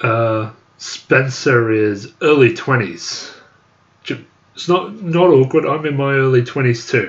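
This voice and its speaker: A man talks at a very slow pace in a somewhat breathy voice. His pitch is medium and his intonation lively. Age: 20s. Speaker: YouTuber. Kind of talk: live stream chat reading. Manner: halting.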